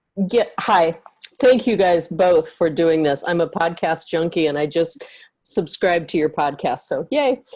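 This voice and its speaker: A plain, everyday voice talks at a fairly slow pace. Its intonation is lively. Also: woman, fairly low pitch for a woman. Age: 60s. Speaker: audience member asking a question. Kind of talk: question in online panel. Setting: video call.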